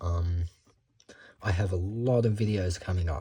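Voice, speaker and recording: A man's very deep, low voice with a dark, mellow tone, somewhat breathy, at a very slow pace with ordinary pitch variation. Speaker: booktuber. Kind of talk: casual book haul vlog. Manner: rambling, hesitant with many ums.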